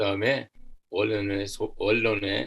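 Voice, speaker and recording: Audible room echo surrounds a man as he speaks. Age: 70s. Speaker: church social welfare volunteer, army veteran. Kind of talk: seminar lecture.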